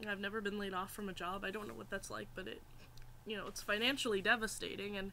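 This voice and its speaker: The voice has vocal fry and fairly even intonation, delivered at a very fast pace. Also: woman, medium pitch for a woman. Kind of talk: personal story to camera. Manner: hesitant, emotional.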